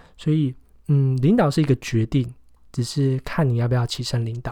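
On a very clean recording with a silent background, a man speaks in a somewhat breathy, dark, mellow voice at a medium pitch with fairly even intonation. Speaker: podcast host and entrepreneur. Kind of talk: book review monologue. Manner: casual with many fillers.

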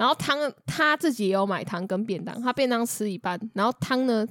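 A woman with a Taiwanese accent speaks at a fairly high pitch with lively intonation. The sound is dry and close, with no echo. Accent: Taiwanese Mandarin. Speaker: podcast co-host. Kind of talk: casual chat.

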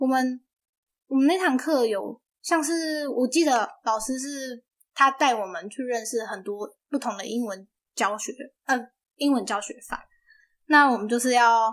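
A woman speaks at a high pitch with big swings in loudness. Long, frequent pauses break up her speech. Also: ordinary pitch variation, fairly slow pace, very clean recording, silent background. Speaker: university student, aspiring English teacher. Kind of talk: casual interview.

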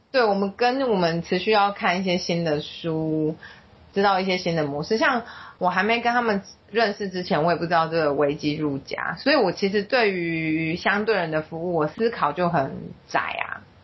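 Speaking at a moderate pace, the somewhat breathy voice shows ordinary pitch variation. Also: woman, medium pitch for a woman. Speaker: social worker. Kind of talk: interview.

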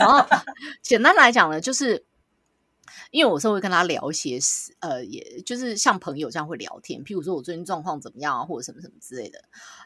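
On a very clean recording with a silent background, the voice moves at a fairly quick pace in a bright, sharp tone, with very wide pitch swings and big swings in loudness. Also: woman, fairly low pitch for a woman. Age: 30s. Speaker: podcast co-host. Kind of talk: casual chat. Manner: animated.

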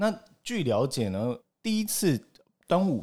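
A dark, mellow tone with lively intonation. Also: man. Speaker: podcast host. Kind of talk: casual chat.

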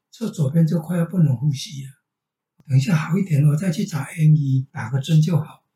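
Using an ordinary speaking voice, a man talks at a fairly quick pace, fairly high in pitch with ordinary pitch variation. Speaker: retired teacher. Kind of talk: casual family conversation.

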